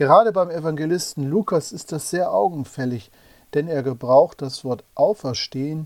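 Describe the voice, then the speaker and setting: With an ordinary speaking voice, a man talks at a fairly high pitch with ordinary pitch variation, the sound dry and close with no echo in a very clean recording with a silent background. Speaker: preacher. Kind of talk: sermon. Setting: church. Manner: formal; measured, earnest.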